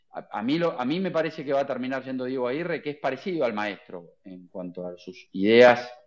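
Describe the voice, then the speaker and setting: Very wide pitch swings from a man at a medium pitch, his pace fairly quick. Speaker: journalist. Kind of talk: casual chat. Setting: online audio space. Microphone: new headphones.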